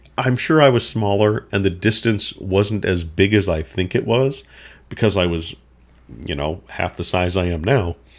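On a very clean recording with a silent background, a man with a Minnesota accent speaks at a moderate pace and fairly low pitch with ordinary pitch variation. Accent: Upper Midwest (Minnesota) American. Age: 50s. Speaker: podcast host. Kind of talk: solo storytelling monologue. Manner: casual, meandering.

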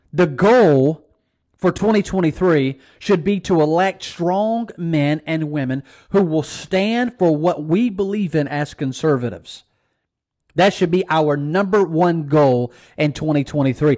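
A man's fairly high voice at a fairly slow pace, in a very clean recording with a silent background. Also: ordinary pitch variation. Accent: Mississippi. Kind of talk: political commentary monologue, sermon-like.

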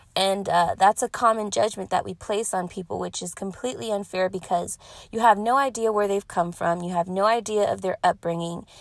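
A woman with a Californian accent talks at a fairly quick pace in an animated tone, with hardly any pauses, over a quiet background. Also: medium pitch for a woman, ordinary pitch variation. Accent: Californian American. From US West, Pasadena, California. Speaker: podcast host and singer. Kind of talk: casual monologue.

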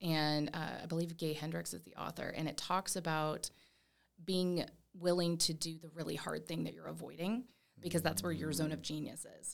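In an American accent, a woman speaks at a moderate pace with a very deep, low pitch, fairly even intonation and vocal fry. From Tampa, Florida, US. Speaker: mindset coach and author. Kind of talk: casual interview.

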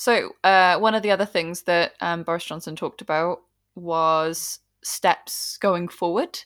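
A woman with an unremarkable speaking voice talks in a fairly low pitch. Her intonation is fairly even, and the recording is very clean with a silent background. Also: fairly slow pace. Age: 20s. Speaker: podcast co-host. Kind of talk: casual chat.

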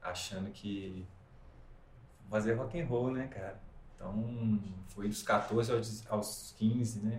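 Somewhat breathy and at medium pitch, a man's voice comes with audible room echo. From Minas Gerais, Brazil (Ubá, Zona da Mata). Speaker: musician and film composer. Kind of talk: interview, casual chat.

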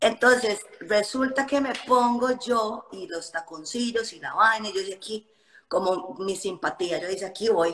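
Using an unremarkable speaking voice, a woman with a fairly high pitch speaks at a fairly slow pace, with lively intonation and big swings in loudness. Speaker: fitness influencer. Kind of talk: casual chat. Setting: Instagram live video call.

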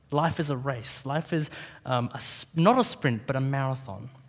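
Speaking in an Australian accent, a man uses a fairly high pitch. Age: 20s. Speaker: preacher. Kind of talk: sermon.

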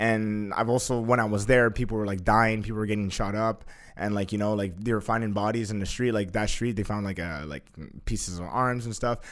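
A man's ordinary speaking voice, fairly low-pitched, at a fairly quick pace. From Canada. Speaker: life coach. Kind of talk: casual chat.

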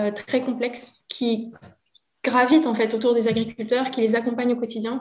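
A woman with a high pitch talks at a fairly quick pace in a monotone, flat intonation. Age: 30s. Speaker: agroecology association worker. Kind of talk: interview.

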